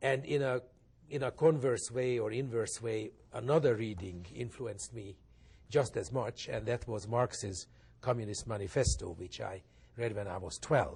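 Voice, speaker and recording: In a Hungarian accent, a man talks at a moderate pace and medium pitch, somewhat breathy, with ordinary pitch variation. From Hungary. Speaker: pianist and think tank director. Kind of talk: interview.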